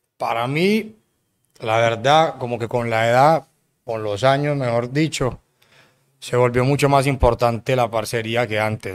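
A man speaks with an unremarkable speaking voice at a medium pitch and a fairly slow pace. His intonation is fairly even, and the recording is very clean with a silent background. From Colombia, Cartagena. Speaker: music producer. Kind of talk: casual interview chat. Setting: studio.

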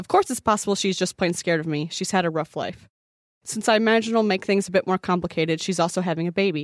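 A woman with an American accent and fairly even intonation, in a very clean, silent-background recording with a dry, close sound and no echo. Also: medium pitch for a woman. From US Midwest. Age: 20s. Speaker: podcast co-host. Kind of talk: casual chat. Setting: studio.

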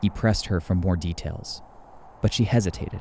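A man with a very deep, low pitch and a dark, mellow tone, somewhat breathy, speaks in a solemn, dramatic tone at a moderate pace with ordinary pitch variation. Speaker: narrator. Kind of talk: saga narration, scripted storytelling. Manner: solemn, measured, dramatic.

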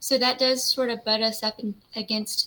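Against noticeable background noise, a woman with an American accent speaks at a moderate pace with fairly even intonation. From US South. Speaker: lawyer. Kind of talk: interview.

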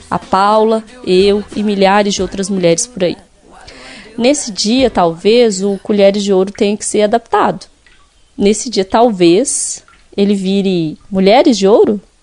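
There is noticeable background noise as a woman speaks at a fairly slow pace. Her pitch is medium, with ordinary variation. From Minas Gerais interior, Brazil. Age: 30s. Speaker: podcast host. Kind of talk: scripted narration.

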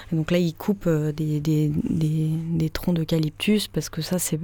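A woman with a very deep, low pitch and a dark, mellow tone speaks at a fairly slow pace with fairly even intonation. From Paris, France. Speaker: sound artist and electroacoustic composer. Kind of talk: interview. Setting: radio studio. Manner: hesitant, many fillers.

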